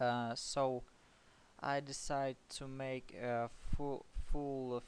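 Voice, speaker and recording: Speaking very slowly, a man with a non-native accent uses a medium pitch and fairly even intonation. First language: not English. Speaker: programming tutor. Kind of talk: tutorial. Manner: halting, many fillers.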